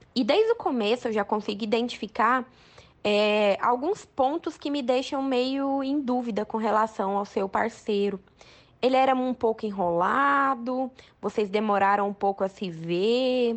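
A woman's fairly high voice at a fairly slow pace, with ordinary pitch variation and a plain, everyday voice. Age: 20s. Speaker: oral surgeon. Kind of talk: recorded advice commentary.

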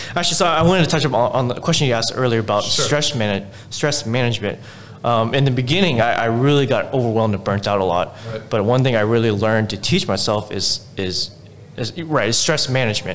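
Against noticeable background noise, a man with an American accent talks at a very fast pace and medium pitch, with lively intonation. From Houston, Texas. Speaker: restaurant owner. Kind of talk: casual interview.

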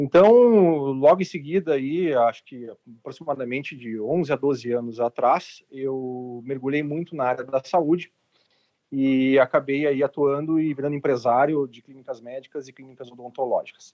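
At a moderate pace, a man uses a normal speaking voice with a fairly high pitch and fairly even intonation. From southern Brazil, Porto Alegre. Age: 40s. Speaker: healthcare entrepreneur. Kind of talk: casual panel discussion.

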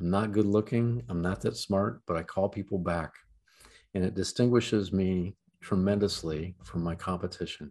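Man's very deep, low voice with a Midwestern American accent and ordinary pitch variation over a quiet background. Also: moderate pace. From Ohio, US Midwest. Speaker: trial lawyer. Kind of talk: interview. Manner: halting.

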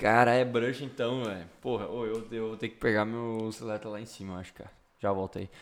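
A man talks at a fairly quick pace in a monotone, flat intonation, his loudness swinging widely. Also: medium pitch for a man. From Rio Grande do Sul, Brazil (Sobradinho). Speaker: podcast host. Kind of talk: casual chat.

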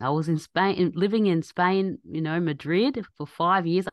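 In an Australian accent, a woman speaks at a moderate pace with a fairly low pitch. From Australia, Egyptian family. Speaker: doctor, scientist and podcaster. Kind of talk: casual interview chat. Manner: halting.

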